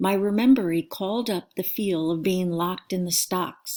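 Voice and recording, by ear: Someone reads a passage aloud in a natural voice.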